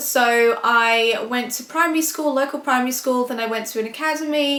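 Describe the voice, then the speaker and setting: A loud woman's high voice at a moderate pace, with ordinary pitch variation. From Scotland. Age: 20s. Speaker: vlogger. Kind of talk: casual chat. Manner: chatty, with many fillers.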